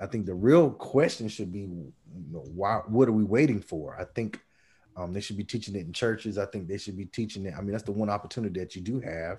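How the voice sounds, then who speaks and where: The speech comes at a very fast pace in a somewhat breathy, dark and mellow tone with ordinary pitch variation. The recording is very clean, with a silent background. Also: man, fairly low pitch for a man. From North Carolina (Red Springs). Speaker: podcast co-host. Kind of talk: casual chat.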